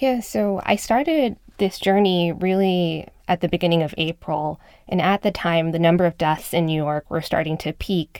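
A woman with an ordinary speaking voice at a moderate pace, recorded dry and close with no echo, very clean against a silent background. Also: fairly low pitch for a woman, ordinary pitch variation. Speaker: reporter. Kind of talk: narrated reporting conversation. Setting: studio.

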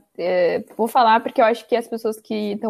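With a fairly quick pace, a woman talks in a fairly high pitch and a monotone, flat intonation, on a very clean recording with a silent background. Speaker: podcast host. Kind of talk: casual chat.

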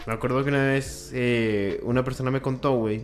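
Against noticeable background noise, a man speaks at a moderate pace with fairly even intonation. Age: 20s. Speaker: podcast co-host. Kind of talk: casual chat.

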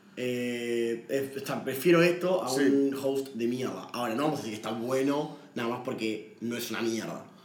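There is noticeable background noise and audible room echo. A man talks at a moderate pace with hardly any pauses and ordinary pitch variation. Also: medium pitch for a man. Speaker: podcast co-host, film commentator. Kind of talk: casual chat.

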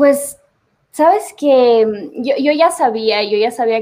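Very slowly, a woman speaks with a dark, mellow tone. The recording is very clean, with a silent background. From Ecuador, Cuenca. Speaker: singer. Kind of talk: casual interview chat.

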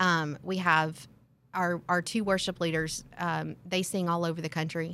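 Delivered at a fairly slow pace in a flat monotone, the bright, sharp tone comes through on a very clean recording with a silent background. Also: woman, fairly low pitch for a woman. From Tennessee. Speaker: employee benefits consultant. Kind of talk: casual interview.

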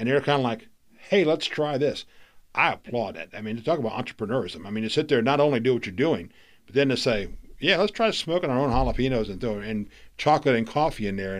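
With lively intonation, a man speaks very fast in an American accent. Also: medium pitch for a man, quiet background. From Florida. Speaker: podcast host. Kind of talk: interview. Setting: studio.

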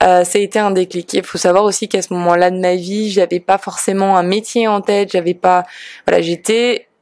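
A woman speaks at medium pitch and a moderate pace, with fairly even intonation. It is a normal speaking voice, with a dry, close sound and no echo. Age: 30s. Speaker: yoga teacher and podcast host. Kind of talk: casual Q&A monologue.

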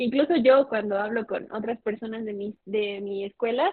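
A woman with a fairly high pitch and a plain, everyday voice speaks at a moderate pace with ordinary pitch variation. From Mexico. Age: 21. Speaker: law student and debater. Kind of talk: casual interview.

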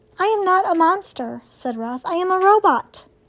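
A female-sounding voice puts on a character voice with an extremely high pitch. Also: moderate pace.

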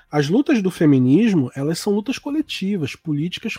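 A man speaks in a high pitch with very wide pitch swings at a moderate pace. The sound is dry and close, with no echo. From Brazil. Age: 40s. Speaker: writer and podcast host. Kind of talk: casual chat.

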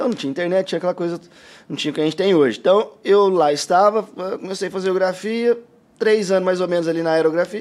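A man's high voice rushes along very quickly, its pitch moving up and down in a typical way. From interior of São Paulo state, Brazil (Guaíra). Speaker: tattoo artist. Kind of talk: casual interview chat.

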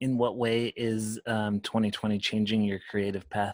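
A man with a fairly low pitch speaks at a very slow pace. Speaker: podcast host, musician. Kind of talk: casual chat.

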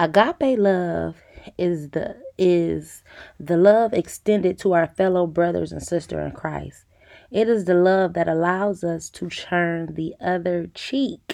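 Speaking very slowly, a woman with a fairly low pitch and a dark, mellow tone shows ordinary pitch variation. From US Midwest, east side of Detroit, Michigan. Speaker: faith podcast host. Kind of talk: devotional podcast talk. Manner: casual, conversational.

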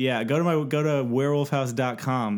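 The speaker is a man with a Californian accent. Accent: General American (Californian). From US West Coast (San Francisco Bay Area, East Bay). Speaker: podcaster and game maker. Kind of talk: casual chat.

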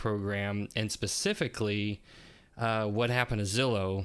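Here is a plain, everyday voice with fairly even intonation. It moves at a moderate pace. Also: man. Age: 40s. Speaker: podcast host and realtor. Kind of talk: casual chat.

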